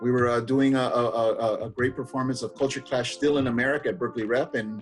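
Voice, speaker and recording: Over background music, a man speaks at a very fast pace. His pitch is medium and his intonation fairly even. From San Francisco, California. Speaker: playwright and comedy performer. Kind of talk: interview. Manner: casual with many fillers.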